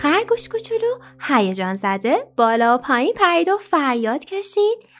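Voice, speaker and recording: Music plays behind a woman with a high-pitched, gentle, calm tone. Her pitch swings very widely while her loudness stays very even. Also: moderate pace. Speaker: storyteller / narrator. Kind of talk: children's bedtime story narration with character voices. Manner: gentle, calm storytelling.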